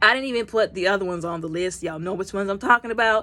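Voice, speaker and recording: This is a woman speaking. Her pitch is medium. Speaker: product reviewer. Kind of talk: casual product review vlog. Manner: fast.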